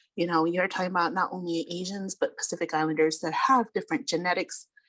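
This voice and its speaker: A woman with a fairly low pitch and ordinary pitch variation talks in a plain, everyday voice. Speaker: panelist with medical background. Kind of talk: panel discussion.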